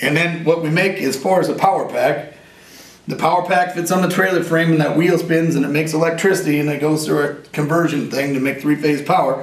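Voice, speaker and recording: Noticeable background noise and audible room echo fill this recording. A man talks at a fairly quick pace in a fairly high pitch. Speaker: inventor and war veteran. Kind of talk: interview. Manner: animated.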